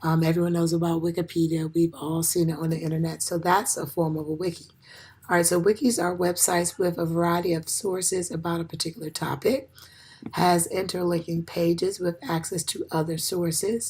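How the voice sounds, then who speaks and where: Noticeable background noise sits behind a woman's voice. Her pitch is fairly low and her intonation fairly even. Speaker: education student. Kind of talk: class presentation. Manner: halting, many fillers.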